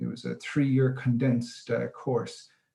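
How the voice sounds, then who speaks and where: In an Irish accent, a man speaks at a moderate pace with monotone, flat intonation. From Ireland, Cork. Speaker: coastal resilience coordinator. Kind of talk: webinar talk.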